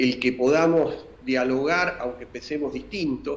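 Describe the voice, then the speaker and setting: A man speaks with ordinary pitch variation. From Argentina, San Juan province. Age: 60s. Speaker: industry association leader, businessman. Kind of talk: interview. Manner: halting, frequent fillers. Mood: earnest, argumentative. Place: home room. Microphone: video call.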